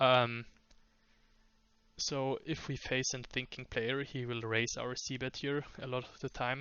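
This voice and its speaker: A man with a non-native accent speaks at medium pitch. His pace is very slow and his intonation monotone and flat. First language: not English. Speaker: poker coach. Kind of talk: tutorial. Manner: halting, many fillers.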